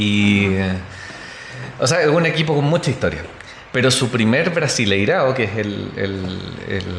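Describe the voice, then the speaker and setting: A man with a Chilean accent speaks at a fairly slow pace with medium pitch, lively intonation and long, frequent pauses, amid audible room echo and noticeable background noise. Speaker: football podcast guest. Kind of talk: casual chat.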